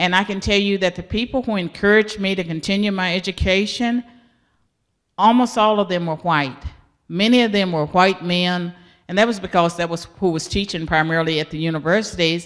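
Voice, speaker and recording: Moving at a fairly quick pace, a normal speaking voice carries ordinary pitch variation. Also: woman. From US South, rural. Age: 60s. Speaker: professor. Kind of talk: interview.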